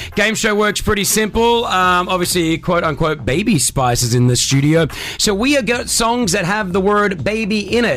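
Through noticeable background noise, a man with a high pitch and lively intonation talks at a moderate pace, with hardly any pauses and very even loudness. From Australia. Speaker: radio host. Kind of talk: casual chat. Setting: studio. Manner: animated.

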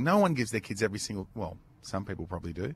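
Very wide pitch swings and vocal fry mark this man's voice as he speaks at a very fast pace. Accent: Australian. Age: 50s. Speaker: podcast co-host. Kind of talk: casual chat.

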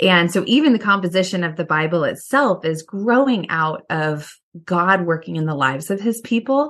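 A woman with an American accent speaks in a normal speaking voice at medium pitch and a moderate pace, with lively intonation and hardly any pauses. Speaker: professor and author. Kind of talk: casual interview conversation about reading and faith. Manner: thoughtful, warm, laughs often.

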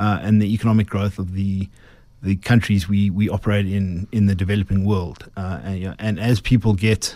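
A man with a South African accent speaks at a moderate pace in a dark, mellow tone and a fairly low pitch, on a very clean recording with a silent background. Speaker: brewing company chief executive. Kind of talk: radio interview. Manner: halting, many fillers.

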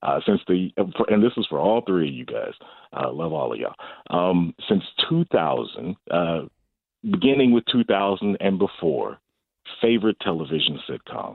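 This man has a fairly low pitch. His voice makes very wide pitch swings. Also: moderate pace. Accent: American. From Wichita, Kansas. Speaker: podcaster. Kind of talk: casual chat.

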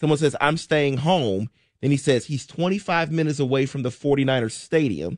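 It's a plain, everyday voice, a man's at a fairly high pitch. He keeps a moderate pace with ordinary pitch variation over a quiet background. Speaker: radio co-host. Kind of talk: reading listener texts on sports radio. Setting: studio.

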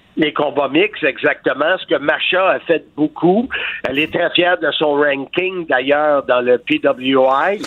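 This man talks very slowly with a Quebec accent, his pitch fairly high. His loudness stays very even, and his pitch varies an ordinary amount. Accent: Québécois French. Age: 60s. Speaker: wrestling commentator and author. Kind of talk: interview. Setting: phone call.

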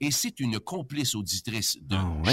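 A man speaks in an animated tone at a medium pitch, his voice bright and sharp on a very clean recording with a silent background. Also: dry, close sound with no echo. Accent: Quebec. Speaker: retiring radio host. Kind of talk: storytelling.

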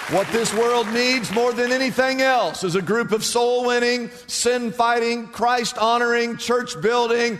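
Over noticeable background noise, a man speaks fairly slowly at an extremely high pitch. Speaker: preacher. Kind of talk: sermon. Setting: church. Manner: animated; emphatic, rhetorical repetition.

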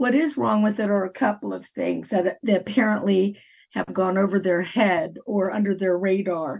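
A woman's somewhat breathy voice at medium pitch and a fairly slow pace. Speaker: mayor. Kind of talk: interview.

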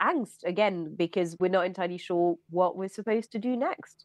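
A woman with an ordinary speaking voice talks fairly quickly at medium pitch, her intonation fairly even over a quiet background. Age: 30s. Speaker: journalist and author. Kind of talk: panel discussion.

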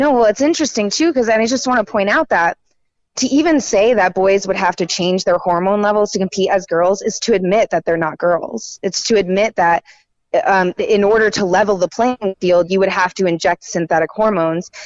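A woman with an American accent talks at a fairly quick pace in a normal speaking voice, medium in pitch, with ordinary pitch variation and very even loudness. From North Carolina, Raleigh. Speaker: writer and independent journalist. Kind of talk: interview.

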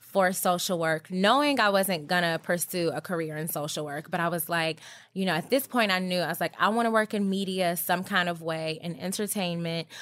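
On a very clean recording with a silent background, a woman with an American accent talks at a fairly quick pace with hardly any pauses, a fairly low pitch and ordinary pitch variation. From US South, Georgia. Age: 30s. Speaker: beauty editor. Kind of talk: interview.

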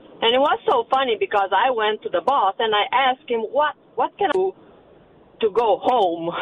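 A woman with a Romanian accent, high in pitch, with very wide pitch swings, very even loudness, a moderate pace and long, frequent pauses. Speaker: caller. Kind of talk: casual chat. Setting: phone call.

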